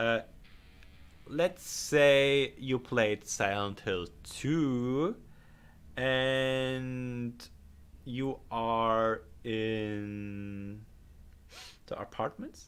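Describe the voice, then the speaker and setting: A man with a German accent, at a very slow pace, with long, frequent pauses. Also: medium pitch for a man, ordinary pitch variation. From Germany. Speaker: game modder and livestreamer. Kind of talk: livestream chat while working. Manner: halting.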